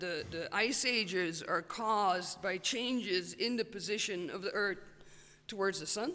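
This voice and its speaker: A woman with a bright, sharp tone and ordinary pitch variation speaks at a very slow pace. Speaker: paleoclimatologist, professor. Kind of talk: Q&A after a talk. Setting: stage with audience. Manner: halting, many fillers and repetitions.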